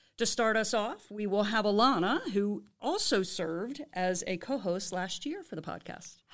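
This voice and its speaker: In a very clean recording with a silent background, a woman with an ordinary speaking voice talks at a fairly high pitch with lively intonation. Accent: American. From Baltimore area, US. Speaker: professor and department chair. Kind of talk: casual chat; scripted podcast intro.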